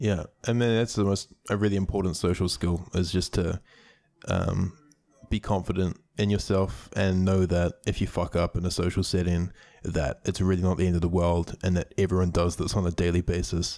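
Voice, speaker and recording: This man has a very deep, low pitch and a dark, mellow tone, speaking at a moderate pace with fairly even intonation and very even loudness on a very clean recording with a silent background. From New Zealand. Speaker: YouTuber. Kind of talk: casual interview chat.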